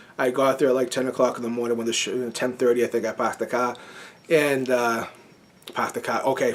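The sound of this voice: Speaking very fast in a Boston accent, a man holds a medium pitch with monotone, flat intonation.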